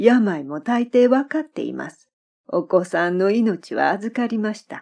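Against a quiet background, a woman speaks very slowly in a calm, soothing tone with very wide pitch swings. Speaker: former Japanese teacher. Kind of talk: literary audiobook reading.

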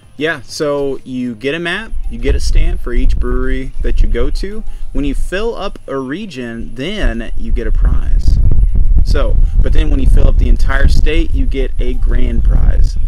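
A man at a fairly slow pace, dry sound with no echo, clear music in the background. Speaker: channel co-host. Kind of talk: casual vlog chat. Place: garden.

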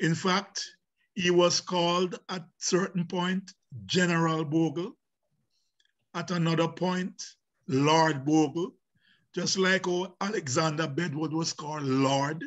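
With a Jamaican accent, a man speaks at a high pitch with fairly even intonation. His pace is very slow, with long, frequent pauses, against a quiet background. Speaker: professor and visual artist; professor guest. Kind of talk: panel discussion. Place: home room. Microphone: video call.

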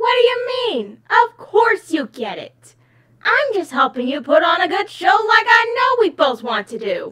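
This put-on character voice sits at an extremely high pitch with very wide pitch swings. The pace is moderate. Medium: dub. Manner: smug, condescending.

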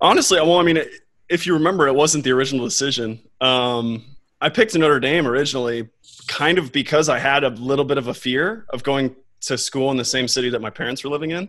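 Over a quiet background, a man with an American accent talks at a very fast pace, his pitch fairly high with ordinary variation. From Texas, Austin; Texas. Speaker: competitive swimmer; guest. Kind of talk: casual chat. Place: home room. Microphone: studio mic.

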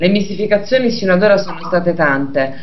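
A woman speaks at a medium pitch with ordinary pitch variation. Noticeable background noise runs behind her. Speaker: radio host. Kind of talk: radio talk show hosting.

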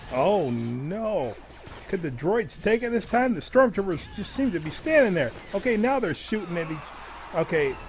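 A man speaks at a moderate pace in a high-pitched, animated voice with very wide pitch swings. Noticeable background noise runs behind him. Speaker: video game commentator. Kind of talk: live sports-style commentary over gameplay, playing up a ring announcer. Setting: voiceover recorded over gameplay. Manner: animated, excitable, hyping each match like an arena announcer; upbeat, chatty, addresses viewers directly.

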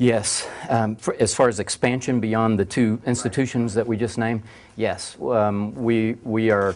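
Someone with a Southern US accent speaks at a moderate pace with fairly even intonation. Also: man. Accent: Southern US (Georgia). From US South, Georgia. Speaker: university international programs director; speaker. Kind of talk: lecture. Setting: stage with audience. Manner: halting, frequent repetitions and fillers. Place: classroom.

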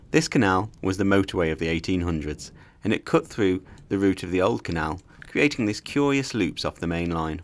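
At a moderate pace, a man speaks in a very deep, low pitch with lively intonation. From Birmingham, England. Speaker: cycling vlogger. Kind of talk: scripted narration.

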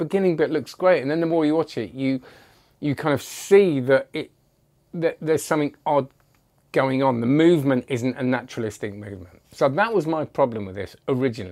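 A man talking at a fairly quick pace with lively intonation, against a quiet background. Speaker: magic product reviewer. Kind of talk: casual review commentary. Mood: amused, chatty. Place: home room. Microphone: lapel.

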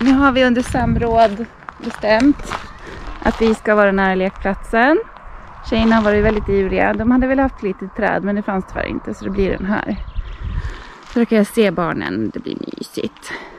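At a moderate pace and with ordinary pitch variation, a woman is heard in a dry recording with no echo and light background noise. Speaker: parent travel vlogger. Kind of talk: casual vlog chat. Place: car. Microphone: phone near.

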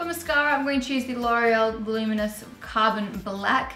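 With faint music in the background and audible room echo, a woman speaks at a moderate pace with ordinary pitch variation. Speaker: makeup tutorial host. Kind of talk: tutorial. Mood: cheerful, laughing.

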